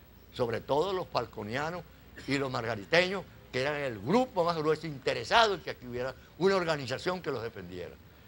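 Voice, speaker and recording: A man talks at a fairly quick pace, his pitch fairly high with very wide swings. Vocal fry runs through his voice. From Venezuela, Zulia (Cabimas). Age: 80s+. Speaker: retired oil worker. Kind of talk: interview.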